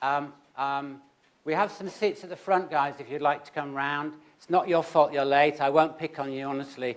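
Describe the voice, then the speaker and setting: With a British accent, a man talks at a fairly high pitch and ordinary pitch variation. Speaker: conference chair, health policy analyst. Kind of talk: conference opening remarks. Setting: auditorium with audience. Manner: fast; hesitant, many fillers.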